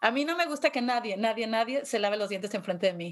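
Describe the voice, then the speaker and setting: A woman speaks in a plain, everyday voice, fairly high in pitch, at a fairly quick pace with ordinary pitch variation. The recording is very clean with a silent background. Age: 50s. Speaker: podcast host. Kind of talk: casual chat.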